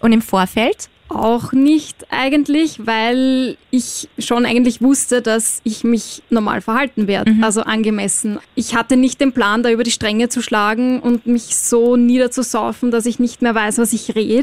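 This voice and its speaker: A woman with an Austrian accent, high-pitched, fairly slow, with fairly even intonation and hardly any pauses. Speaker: reality TV contestant. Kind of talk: casual chat. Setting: studio.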